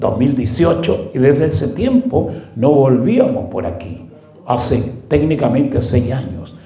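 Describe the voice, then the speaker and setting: This man talks at a medium pitch and a fairly slow pace. Room echo is audible, and background noise is noticeable. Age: 70s. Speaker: pastor. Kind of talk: sermon.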